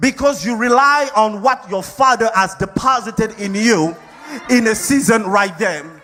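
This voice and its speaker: A man's raised, projected voice, animated in tone with lively intonation, over music in the background. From Africa. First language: not English. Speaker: pastor. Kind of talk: sermon.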